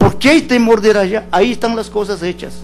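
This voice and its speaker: A man is speaking. His pace is moderate. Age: 70s. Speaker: witness at a court hearing. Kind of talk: court testimony. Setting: courtroom hearing. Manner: calm, measured.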